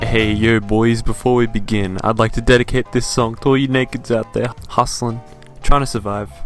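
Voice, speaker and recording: There is music in the background as a man speaks at a medium pitch. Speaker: gaming video narrator. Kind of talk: documentary-style game story narration.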